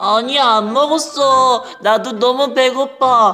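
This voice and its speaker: A cartoonish character voice goes at a fairly slow pace over light background noise. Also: man, extremely high pitch for a man. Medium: puppet.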